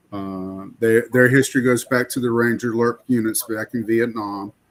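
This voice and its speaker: A man's monotone, flat delivery at a moderate pace. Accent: Southern US. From US South, rural Florida. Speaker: podcast co-host, army veteran. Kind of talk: casual chat.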